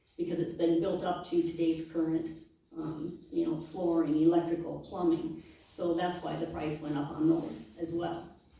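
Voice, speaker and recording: A woman with an American accent and a fairly low pitch speaks in a monotone, flat intonation, with audible room echo. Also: moderate pace. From US Midwest, eastern South Dakota. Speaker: political candidate. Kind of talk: candidate forum Q&A.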